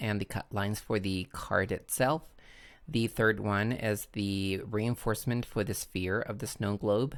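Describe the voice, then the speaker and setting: The speech comes at a very slow pace with fairly even intonation, on a very clean recording with a silent background. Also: man. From Chile. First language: Spanish. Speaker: crafting tutorial creator. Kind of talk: tutorial. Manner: hesitant, with frequent fillers.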